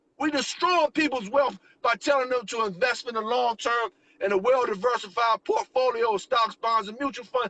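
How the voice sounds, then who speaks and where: An animated man raises and projects his voice at an extremely high pitch with a bright, sharp tone. His pace is moderate, and his pitch varies in an ordinary way. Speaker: network marketing promoter. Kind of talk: sales pitch. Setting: live stream. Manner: loud.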